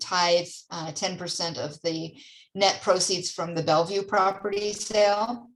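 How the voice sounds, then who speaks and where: In a room with audible echo, a woman speaks slowly-ish, at a fairly slow pace and medium pitch, in a monotone, flat intonation. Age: 60s. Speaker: church mission center leader. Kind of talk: church council meeting presentation; casual chat.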